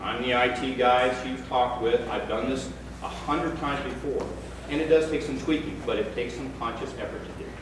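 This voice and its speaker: Over noticeable background noise and audible room echo, a man talks at a fairly quick pace in a flat monotone at a medium pitch. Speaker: resident speaking at town meeting. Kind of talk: public comment at town meeting. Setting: town meeting room.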